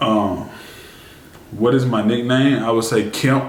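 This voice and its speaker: Amid noticeable background noise and audible room echo, a man speaks in a medium pitch with fairly even intonation. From US South, Birmingham, Alabama. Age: 20s. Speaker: YouTuber, e-commerce store owner. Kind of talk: casual Q&A vlog.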